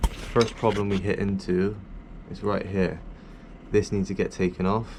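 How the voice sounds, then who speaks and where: A man's mumbling, fairly low voice with a British accent, flat and monotone, at a fairly slow pace. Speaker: airsoft hobbyist youtuber. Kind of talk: tutorial. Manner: loud.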